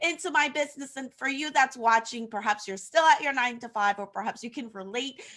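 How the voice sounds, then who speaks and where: A woman's high-pitched voice, bright and sharp in tone, with ordinary pitch variation, big swings in loudness and hardly any pauses. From Haiti. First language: French. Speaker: social media coach. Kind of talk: casual interview on livestream. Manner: some hesitations and fillers.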